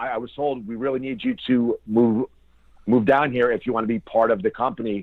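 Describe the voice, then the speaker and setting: A man uses an ordinary speaking voice at a medium pitch, with ordinary pitch variation and a moderate pace. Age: 40s. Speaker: professional wrestler. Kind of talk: interview.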